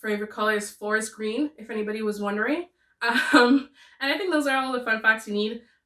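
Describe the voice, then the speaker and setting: In a French Canadian accent, a woman talks at a fairly high pitch with ordinary pitch variation. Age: 20s. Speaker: booktuber. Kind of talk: casual chat. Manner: talkative.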